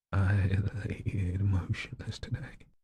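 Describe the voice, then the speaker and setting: A man's shaky put-on character voice, fairly low in pitch. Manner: slow, heavy.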